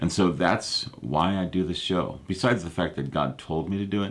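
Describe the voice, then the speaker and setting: A man speaks at a fairly slow pace with vocal fry. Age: 50s. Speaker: pastor. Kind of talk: live prayer and prophecy broadcast. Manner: casual, halting with fillers.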